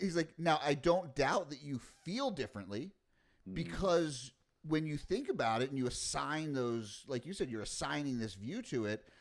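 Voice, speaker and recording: A man speaks in an ordinary speaking voice at a fairly high pitch, with lively intonation and a moderate pace. The recording is very clean, with a silent background. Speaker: podcast host. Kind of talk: conversational interview question.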